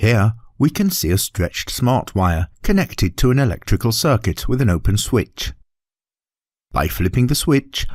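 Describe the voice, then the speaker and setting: A man with a medium pitch speaks at a moderate pace, his pitch swinging very widely with vocal fry and very even loudness. The recording is very clean and silent behind him, with a dry, close sound and no echo. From United Kingdom. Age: middle-aged. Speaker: voice actor. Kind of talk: educational e-learning narration.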